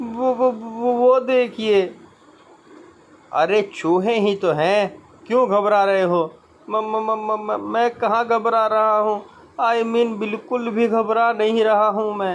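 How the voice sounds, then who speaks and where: A man's high-pitched voice keeps a fairly even intonation. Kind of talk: comic audio narration with character voices. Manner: dramatic, suspenseful storytelling.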